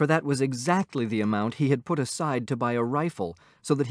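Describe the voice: A plain read-aloud delivery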